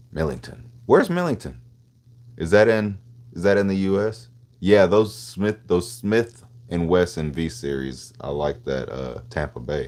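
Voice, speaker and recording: A man with an American accent and a very deep, low pitch, with lively intonation at a fairly slow pace. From Tennessee, Nashville. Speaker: gun streamer. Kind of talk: live stream chat. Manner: casual, slangy.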